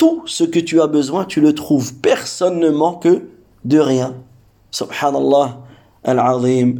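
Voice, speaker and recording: Speaking very slowly with a non-native accent, a man has a dark, mellow tone. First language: not Arabic (speaking French). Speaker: Islamic religious teacher. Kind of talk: religious lesson. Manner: hesitant, with fillers and repetitions.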